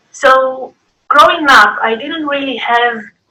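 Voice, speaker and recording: Projecting her voice, a woman with a Greek accent speaks at a high pitch with ordinary pitch variation. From Greece. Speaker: artist. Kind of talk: interview. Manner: halting.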